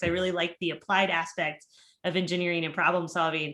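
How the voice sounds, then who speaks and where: This woman's voice sits at a medium pitch. She speaks at a fairly quick pace. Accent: Minnesotan. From Minnesota. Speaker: engineering professor. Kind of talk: panel discussion.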